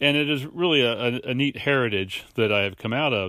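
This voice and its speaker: A man with an American accent talks at a fairly quick pace in a normal speaking voice, his pitch varying in an ordinary way. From southeastern Pennsylvania. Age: 60s. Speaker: podcast co-host, farmer. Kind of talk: devotional talk.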